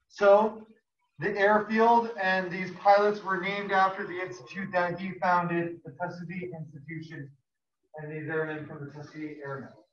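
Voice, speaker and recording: With audible room echo, a high-pitched man speaks with fairly even intonation and big swings in loudness. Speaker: high school history teacher. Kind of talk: classroom lecture. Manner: fast.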